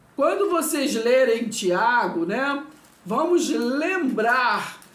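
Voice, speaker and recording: Speaking very slowly, a woman uses a high pitch and lively intonation, with audible room echo around her. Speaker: Bible teacher. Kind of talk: Bible teaching video lesson. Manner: slow, deliberate; repetitive, hesitant.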